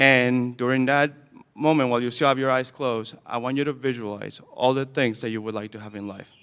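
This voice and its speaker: A man talks at a very fast pace with a non-native accent. His pitch is medium and his intonation fairly even. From Camden, Maine, immigrant childhood. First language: not English. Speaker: graduation guest speaker, alumnus. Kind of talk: commencement speech. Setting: school gym with audience.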